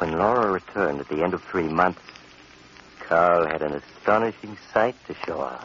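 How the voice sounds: A man speaks at a moderate pace with a low pitch. His pitch variation is ordinary. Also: fairly bright tone.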